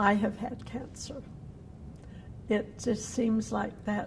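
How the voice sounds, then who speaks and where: This woman talks at a very slow pace with an American accent. Her pitch is fairly high. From Cedar City, Utah. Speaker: downwinder, cancer survivor. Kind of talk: oral history interview answer.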